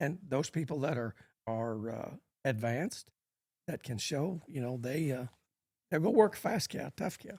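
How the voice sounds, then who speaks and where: A man's fairly high, somewhat breathy voice with an American accent, lively intonation, a fairly slow pace and long, frequent pauses. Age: 70s. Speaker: cutting horse trainer. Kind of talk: podcast interview.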